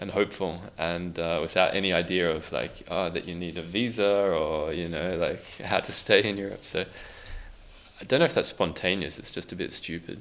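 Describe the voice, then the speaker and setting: A man's very deep, low voice with an Australian accent and fairly even intonation. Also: moderate pace. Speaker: musician. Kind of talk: interview. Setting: podcast recording in a youth center.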